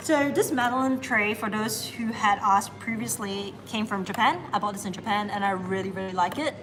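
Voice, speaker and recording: A woman talks with hardly any pauses and ordinary pitch variation while music plays in the background. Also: medium pitch for a woman, fairly quick pace. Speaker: baker and barista hosting a live bake-along. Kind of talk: live stream tutorial. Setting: cafe kitchen on a live stream. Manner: fast when nervous.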